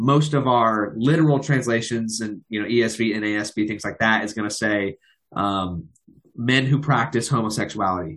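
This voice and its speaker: An ordinary speaking voice from a man at medium pitch, with ordinary pitch variation and a moderate pace. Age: 20s. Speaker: podcast host. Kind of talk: interview.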